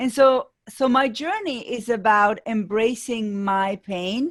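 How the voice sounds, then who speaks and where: A woman speaks with an Argentine accent at a fairly high pitch. Her intonation is lively. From Argentina, Buenos Aires. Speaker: business coach. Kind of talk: interview.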